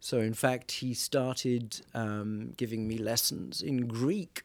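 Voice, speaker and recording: A man with a Welsh accent, medium in pitch, with ordinary pitch variation. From Wales. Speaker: priest. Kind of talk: casual chat. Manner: humorous, jokey.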